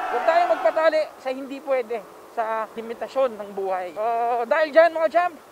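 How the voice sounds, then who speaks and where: Loud background noise sits under a dry sound with no echo. The speech moves at a moderate pace. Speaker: motovlogger. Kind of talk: casual vlog chat. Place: motorbike. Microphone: helmet.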